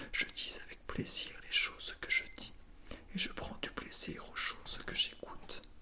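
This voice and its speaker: Whispering from a woman at a very slow pace, with noticeable background noise. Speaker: ASMR creator reading aloud. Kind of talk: whispered theatre reading for ASMR. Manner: whispered, soft.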